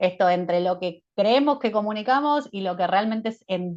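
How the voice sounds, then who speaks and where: With a normal speaking voice, a woman of medium pitch talks at a moderate pace with lively intonation. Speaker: management consultant. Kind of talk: webinar presentation.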